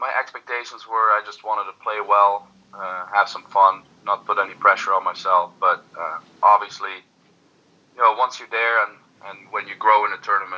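A man with a Dutch accent speaks at a moderate pace and fairly low pitch. His intonation is fairly even, but his loudness swings widely. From Netherlands. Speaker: darts player. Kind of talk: interview.

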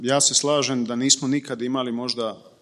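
This is a man speaking. He has a plain, everyday voice. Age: 30s. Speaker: PR consultant. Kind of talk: panel discussion.

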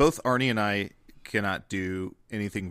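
On a very clean recording with a silent background, a man with a bright, sharp tone and fairly low pitch speaks at a fairly slow pace with ordinary pitch variation. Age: 30s. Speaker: comedy podcaster. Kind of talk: casual chat.

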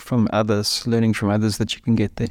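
On a very clean, dry and close recording with a silent background and no echo, a man speaks in a medium pitch. He has a South African accent and a flat, monotone intonation. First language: Afrikaans. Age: 50s. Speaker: former musician turned financial planner. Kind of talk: interview.

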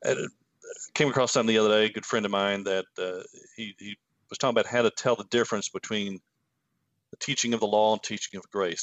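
This man speaks with a Kentucky accent. His pitch is fairly low and his intonation fairly even. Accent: Kentucky Southern US. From Kentucky, US. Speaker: former pastor and author. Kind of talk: casual interview conversation. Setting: video call.

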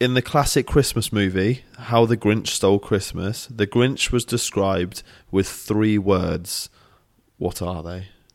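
The recording is very clean, with a silent background. A man speaks at a fairly low pitch in a British accent. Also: ordinary pitch variation. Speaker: podcast co-host, fitness coach. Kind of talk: casual chat. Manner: playful, joking.

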